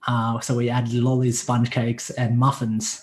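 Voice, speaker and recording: In an American accent, a man speaks at medium pitch with a dark, mellow tone. His voice is somewhat breathy over a quiet background. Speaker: online fitness coach. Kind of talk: casual chat. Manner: casual, profane.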